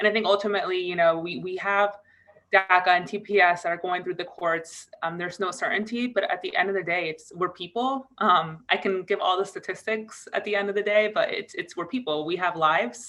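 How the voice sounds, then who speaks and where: A woman with an American accent and a plain, everyday voice talks at a fairly quick pace, medium pitch and ordinary pitch variation. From US Northeast, Connecticut. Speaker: DACA recipient advocate. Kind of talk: virtual press call remarks. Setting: video call.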